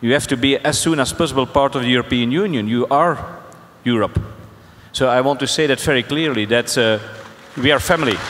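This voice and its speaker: A man speaking with a Flemish accent at medium pitch and a fairly quick pace takes long, frequent pauses, his loudness very even and his pitch variation ordinary. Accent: Belgian Dutch (Flemish) accent in English. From Belgium. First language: Dutch. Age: 60s. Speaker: mayor. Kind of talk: panel discussion. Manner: halting.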